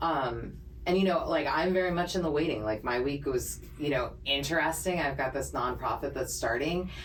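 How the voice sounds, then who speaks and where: Through noticeable background noise and audible room echo, a woman speaks at a fairly quick pace, her fairly low pitch making very wide swings. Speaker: podcast co-host. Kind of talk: casual chat. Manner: naturally fast talker; clear articulation from voiceover training.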